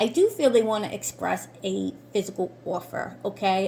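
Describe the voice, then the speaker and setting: A woman talks with lively intonation at a fairly high pitch. Her voice is somewhat breathy. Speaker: tarot reader and reiki practitioner. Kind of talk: tarot card reading.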